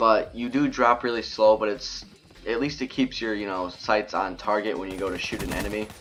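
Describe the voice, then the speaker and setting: A man's fairly low voice at a fairly quick pace, intonation fairly even, amid noticeable background noise. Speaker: gaming YouTuber. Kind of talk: gameplay commentary. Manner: halting, stuttering a little.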